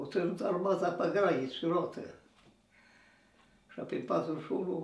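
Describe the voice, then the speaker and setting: A man's high voice at a fairly quick pace, with audible room echo and noticeable background noise. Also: ordinary pitch variation. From Transylvania, Romania. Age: 80s+. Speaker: war veteran. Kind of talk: interview storytelling.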